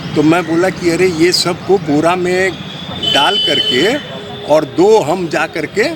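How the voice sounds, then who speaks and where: Noticeable background noise runs through the clip. A man talks at a high pitch. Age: 60s. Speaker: temple priest. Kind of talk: interview testimony.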